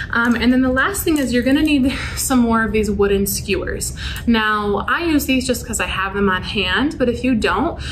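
A woman's pitch varies in an ordinary way while light noise sits in the background. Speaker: youth club instructor. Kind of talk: tutorial. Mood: friendly, upbeat. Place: classroom. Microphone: camera far.

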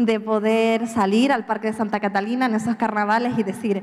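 A woman speaks at a fairly quick pace. Her medium pitch holds fairly even intonation.

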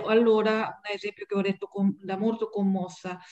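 At a moderate pace, a woman speaks with a Japanese accent against a quiet background. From Japan, Tokyo area. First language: Japanese (speaking Italian). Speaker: guest. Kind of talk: interview. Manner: halting. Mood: moved, earnest. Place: home room. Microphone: webcam.

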